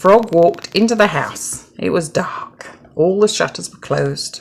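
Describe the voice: A woman speaks at a slow pace with a fairly low pitch and vocal fry. Her pitch varies in an ordinary way.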